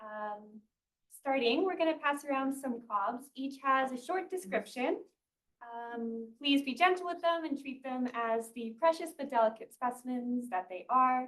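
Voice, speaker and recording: A soft-spoken woman talks at a fairly slow pace in a high pitch. Her intonation is lively. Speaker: graduate student researcher. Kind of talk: research seminar talk. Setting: seminar room with audience.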